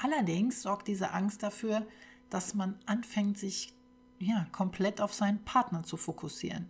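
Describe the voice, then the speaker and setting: A woman with a somewhat breathy, medium-pitched voice speaks at a fairly slow pace with fairly even intonation. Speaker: podcast host. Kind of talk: personal testimony monologue.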